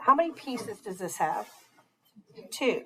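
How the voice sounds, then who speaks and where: This woman's voice is somewhat breathy. She talks at a moderate pace. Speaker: math teacher. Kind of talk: classroom lecture. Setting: classroom with students.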